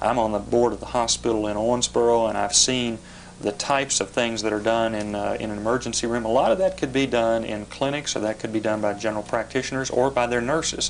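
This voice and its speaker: A man with a Kentucky accent, talking very fast in fairly even intonation, over noticeable background noise. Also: medium pitch for a man, hardly any pauses. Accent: Kentucky Southern US. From western Kentucky. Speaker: politician. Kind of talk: TV interview. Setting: TV studio. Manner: hesitant with fillers.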